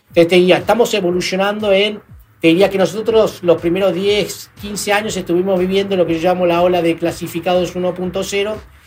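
Noticeable background noise accompanies a man with a high-pitched voice. He speaks fairly quickly in a flat monotone. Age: 40s. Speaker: entrepreneur, company CEO. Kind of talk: interview.

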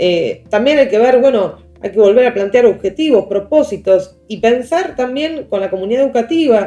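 This woman speaks with an Argentine accent at a high pitch and lively intonation. Her pace is moderate, with hardly any pauses. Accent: Rioplatense Argentine Spanish. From Argentina, La Plata. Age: 30s. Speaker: teacher and education specialist. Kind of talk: interview. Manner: hesitant, with many fillers.

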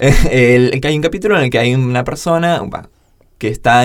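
A man talks fairly quickly at a medium pitch. He has an ordinary speaking voice. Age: 20s. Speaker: podcast co-host. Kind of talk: casual chat.

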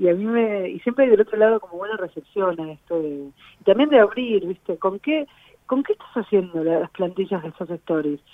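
A woman's unremarkable speaking voice at medium pitch, with lively intonation, a moderate pace and big swings in loudness. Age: 40s. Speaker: blogger and social media specialist. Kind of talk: casual interview.

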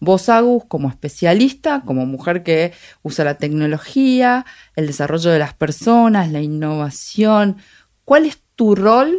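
Using very wide pitch swings, a woman with a fairly low voice speaks at a fairly slow pace on a very clean recording with a silent background. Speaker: podcast host. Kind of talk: casual interview.

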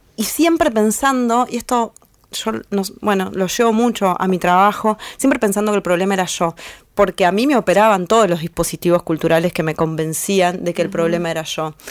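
A woman speaks at a fairly quick pace in a medium pitch, with ordinary pitch variation. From Argentina, northern Buenos Aires province. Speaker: feminist artist and blogger. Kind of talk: interview. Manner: halting, many fillers.

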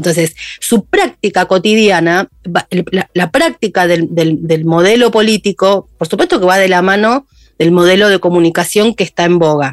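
Speaking in a Rioplatense accent at a moderate pace, a woman uses medium pitch and ordinary pitch variation, the sound dry and close with no echo. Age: 50s. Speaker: journalist and podcaster. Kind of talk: interview.

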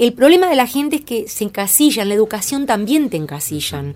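A woman talks at a moderate pace. She speaks with a Rioplatense accent. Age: 50s. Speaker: creativity coach. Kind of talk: interview. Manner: halting.

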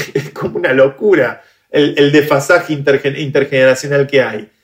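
In a Rioplatense accent, a man talks at a fairly high pitch. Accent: Argentine Rioplatense Spanish. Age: 30s. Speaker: tech entrepreneur and activist. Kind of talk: interview conversation.

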